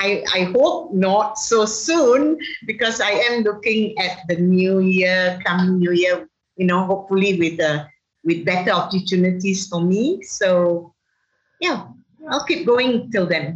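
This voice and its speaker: This woman has a medium pitch and a somewhat breathy voice with lively intonation. She speaks at a fairly slow pace with very even loudness. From Malaysia. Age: 60s. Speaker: chef and cookbook author. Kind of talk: casual interview. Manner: halting, repeats words.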